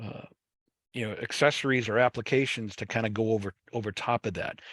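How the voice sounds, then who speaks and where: In a Boston accent, a man talks at a fairly quick pace with a medium pitch. His intonation is fairly even, and the sound is dry and close with no echo. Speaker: webinar presenter on fiber networks. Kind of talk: webinar presentation. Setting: online webinar. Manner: casual, many fillers and restarts.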